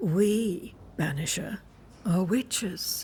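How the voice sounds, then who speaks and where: A put-on character voice, female-sounding and raspy, comes out at medium pitch for a woman with a calm tone. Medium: video game. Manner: calm, measured, cryptic.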